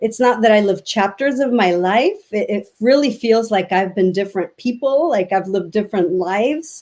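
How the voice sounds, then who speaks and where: A woman with a Spanish accent speaks at a moderate pace with hardly any pauses, using a fairly high pitch and ordinary pitch variation. The recording is very clean, and the background is silent. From Mexico City, Mexico. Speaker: education advocate. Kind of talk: interview. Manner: halting.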